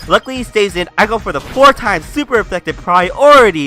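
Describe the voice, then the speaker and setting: Over music in the background, a man with a high pitch uses a raised, projected voice and lively intonation. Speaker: gaming commentator. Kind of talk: game commentary.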